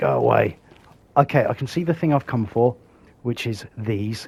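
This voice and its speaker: Pitch moves in an ordinary way as a man talks in a somewhat breathy voice. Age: old. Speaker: gaming YouTuber. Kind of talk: gameplay commentary.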